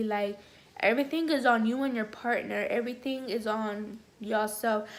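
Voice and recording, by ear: A woman's fairly high voice at a moderate pace, fairly even intonation, with audible room echo.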